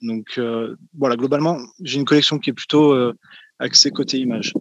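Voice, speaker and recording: Recorded dry and close with no echo, a man of medium pitch speaks in a monotone, flat intonation. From France. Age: 20s. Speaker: wrestling collector.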